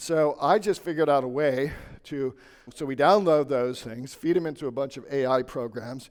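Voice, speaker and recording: A man with an ordinary speaking voice talks at a moderate pace in a fairly high pitch, showing ordinary pitch variation and big swings in loudness. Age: 60s. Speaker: lawyer and business owner. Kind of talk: conference talk.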